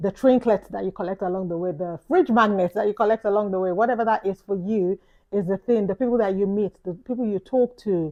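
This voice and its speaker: Speaking at a fairly quick pace with a London accent, a woman uses medium pitch and ordinary pitch variation. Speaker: YouTuber vlogger. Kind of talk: reflective vlog talk. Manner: casual, conversational.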